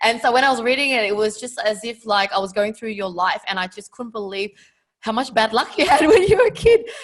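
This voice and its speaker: A woman talks at a fairly quick pace with a normal speaking voice and fairly high pitch. Her pitch variation is ordinary, while her loudness swings widely. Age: 30s. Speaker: podcast host. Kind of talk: interview.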